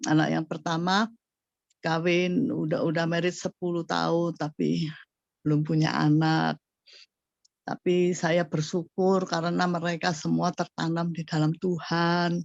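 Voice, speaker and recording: At a fairly slow pace, a normal speaking voice carries fairly even intonation, recorded dry and close with no echo against a quiet background. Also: woman, fairly low pitch for a woman. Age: 60s. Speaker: church member giving testimony. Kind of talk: testimony.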